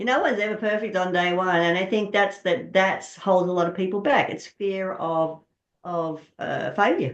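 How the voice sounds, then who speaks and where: Using a plain, everyday voice, a woman talks at a moderate pace and medium pitch with ordinary pitch variation. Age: 60s. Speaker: actor. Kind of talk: interview answer.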